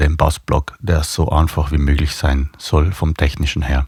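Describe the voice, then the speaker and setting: In a South Tyrolean accent, the speech runs at a fairly slow pace with a dry, close sound and no echo. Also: man. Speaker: bass player and video blogger. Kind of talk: casual video blog talk. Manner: hesitant, many fillers.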